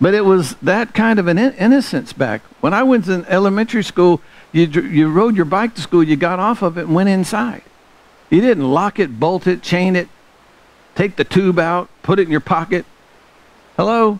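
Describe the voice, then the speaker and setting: Lively in intonation, a man with an American accent speaks at a high pitch. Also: moderate pace. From US South. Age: 60s. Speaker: pastor; preacher. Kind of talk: sermon. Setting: church. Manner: animated. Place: church.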